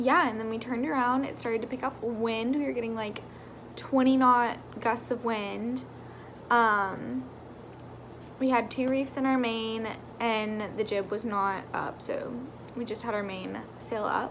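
A woman at a fairly slow pace, with fairly even intonation, long, frequent pauses and light background noise. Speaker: vlogger. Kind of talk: casual vlog chat. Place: home room. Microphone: phone near.

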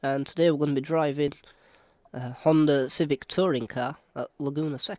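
A man with a British accent, fairly high pitch and fairly quick pace, in a dry, close sound with no echo. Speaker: sim racing video creator. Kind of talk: gameplay commentary.

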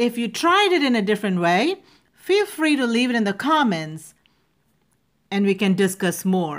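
A woman with a non-native accent speaks at a moderate pace, with long, frequent pauses. Her pitch swings very widely while her loudness stays very even. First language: not English. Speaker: speech and public speaking coach. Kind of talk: educational vocabulary lesson to camera. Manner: clear, careful pronunciation.

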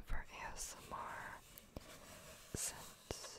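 A woman is speaking. Loud background noise fills the clip. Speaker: ASMR creator. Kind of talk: soft-spoken ASMR chat. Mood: playful, deadpan humor. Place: home room. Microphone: studio mic.

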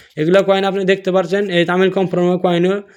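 A man speaks in a high pitch with a non-native accent. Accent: non-native Bengali speaker. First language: not Bengali; another mother tongue (speaking Bengali). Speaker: coin collecting video creator. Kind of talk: tutorial. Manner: casual, repetitive.

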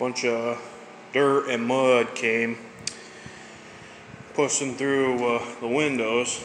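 Over faint background noise, a man with an American accent talks at a very slow pace in a medium pitch, his fairly bright tone showing little pitch movement.

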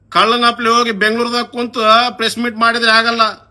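The voice is raised and projected with a bright, sharp tone. Its intonation stays monotone and flat. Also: man. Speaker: local politician. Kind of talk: political rant video. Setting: Facebook live video. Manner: heated, confrontational.

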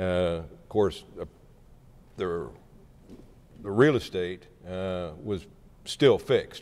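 A man with a very deep, low pitch and an American accent, lively intonation, a very slow pace, and long, frequent pauses. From southeast Kansas. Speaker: former state senator and county appraiser. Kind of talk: oral history interview. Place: hall. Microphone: lapel.

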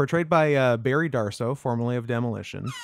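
Ordinary pitch variation in a plain, everyday voice. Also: man. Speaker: gaming streamer. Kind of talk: casual chat.

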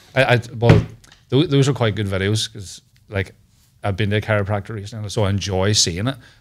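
At a very fast pace, a man with a fairly low pitch and ordinary pitch variation speaks over light background noise. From Northern Ireland. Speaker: comedian. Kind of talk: casual chat. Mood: jokey, storytelling. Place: studio. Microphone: studio mic.

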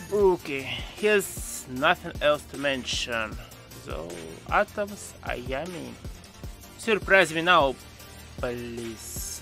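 A man with a slight German accent speaks with very wide pitch swings and big swings in loudness, pausing long and often, in a dry, echo-free sound with faint music in the background. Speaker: gaming YouTuber. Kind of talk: game commentary voice-over. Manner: sarcastic, joking. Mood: wry, sarcastic. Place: home room. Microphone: studio mic.

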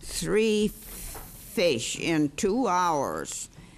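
Against light background noise, a woman speaks with an American accent at a fairly low pitch with ordinary pitch variation. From Minnesota. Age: 80s+. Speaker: citizen testifying at hearing. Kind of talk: testimony to a committee, telling fishing stories. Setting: hearing room. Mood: proud, cheerful. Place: meeting room. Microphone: podium.

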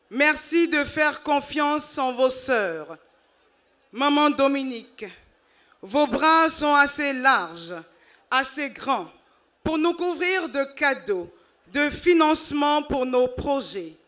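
On a very clean recording with a silent background, a woman with a high, bright, sharp voice speaks very slowly with lively intonation and long, frequent pauses. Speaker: women's group spokesperson. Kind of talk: ceremonial speech. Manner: emphatic.

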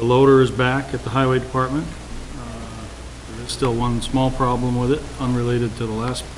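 There is noticeable background noise in this man's recording. His intonation is monotone and flat. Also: fairly quick pace. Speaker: town administrator giving a report. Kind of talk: meeting report. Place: meeting room. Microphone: podium.

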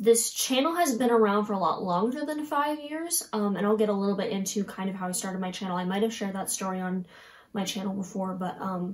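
Speaking at a very fast pace, a woman keeps her intonation lively. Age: 20s. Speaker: singer. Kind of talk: casual talk to camera. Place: home room.

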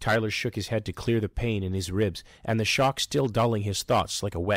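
The intonation holds fairly even. It is a plain reading aloud.

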